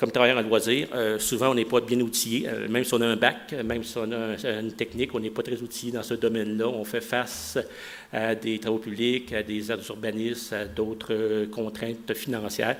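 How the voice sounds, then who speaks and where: Speaking fairly quickly, a man with a Quebec accent talks at a medium pitch. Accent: Québécois French. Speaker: executive director of a municipal recreation association. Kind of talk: conference presentation. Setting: conference with audience. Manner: fast.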